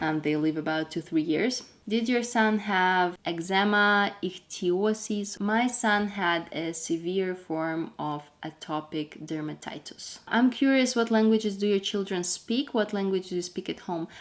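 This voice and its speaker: With a Russian accent, this speaker talks at a fairly slow pace with ordinary pitch variation and hardly any pauses. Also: woman, medium pitch for a woman. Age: 20s. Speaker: homemaker vlogger. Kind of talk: casual Q&A vlog.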